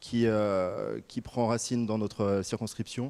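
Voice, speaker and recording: The man's tone is dark and mellow. His intonation remains fairly even throughout. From Savoie, France. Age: 30s. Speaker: political candidate. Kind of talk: political debate.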